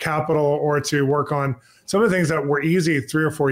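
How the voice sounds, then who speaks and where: Very fast-paced man's voice with ordinary pitch variation. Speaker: interview host. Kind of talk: interview question. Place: home room.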